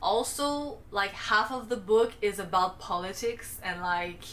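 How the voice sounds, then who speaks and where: A woman with a medium-pitched voice and ordinary pitch variation is heard amid noticeable background noise. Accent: non-native. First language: not English. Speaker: booktuber. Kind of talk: casual monologue book review. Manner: casual, filler-heavy with frequent like; somewhat halting, self-correcting.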